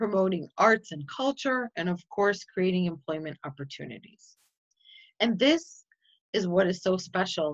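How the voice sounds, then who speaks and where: A woman in an American accent, fairly low-pitched, with lively intonation at a moderate pace. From US Midwest, Chicago. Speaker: nonprofit community organizer. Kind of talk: online presentation.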